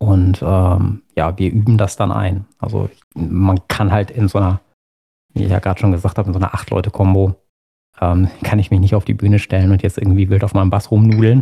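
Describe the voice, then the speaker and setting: In a dry, close sound with no echo, a man speaks at a fairly quick pace in a very deep, low pitch, his dark, mellow tone somewhat breathy, his intonation fairly even and his loudness swinging widely. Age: 40s. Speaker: musician and role-player. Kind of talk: casual interview chat.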